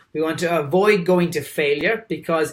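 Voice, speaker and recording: A man with an Irish accent speaks in a high-pitched, animated tone. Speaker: dietitian. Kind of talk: presentation.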